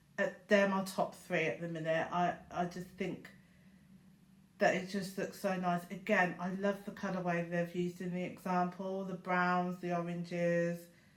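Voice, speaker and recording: A woman with a British accent speaks in a flat monotone. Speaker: crafting YouTuber. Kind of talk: casual vlog talk. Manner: chatty with fillers.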